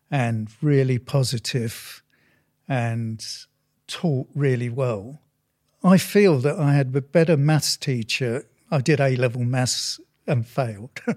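Speaking with an English accent at a very slow pace, a man leaves long, frequent pauses and uses ordinary pitch variation, in a very clean recording with a silent background. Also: medium pitch for a man. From England. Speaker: sculptor. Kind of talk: casual chat.

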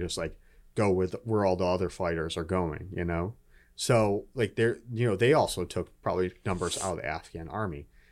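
A man's ordinary speaking voice, fairly low in pitch, at a fairly quick pace with ordinary pitch variation, on a very clean recording with a silent background. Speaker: Marine veteran and political staffer. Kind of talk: casual chat. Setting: studio.

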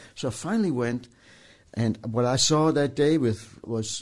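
Here we hear a man. His voice is pitched in the middle range. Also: quiet background. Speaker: engineer. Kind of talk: interview. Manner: halting.

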